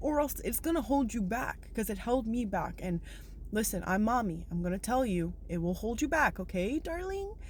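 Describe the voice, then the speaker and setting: With an animated tone and very wide pitch swings, a woman speaks at a fairly high pitch and a moderate pace, sounding somewhat breathy. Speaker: spiritual self-help vlogger. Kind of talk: motivational monologue to viewers.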